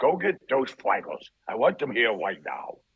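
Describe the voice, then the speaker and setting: A put-on character voice is delivered at a moderate speed. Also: man, fairly high pitch for a man. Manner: bossy, demanding.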